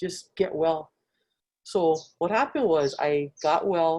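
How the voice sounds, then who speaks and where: A woman speaks with a dark, mellow tone. Her pitch varies in an ordinary way. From Hawaii, Nanakuli (Oahu). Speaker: Hawaiian cultural teacher. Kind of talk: personal testimony. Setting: video call.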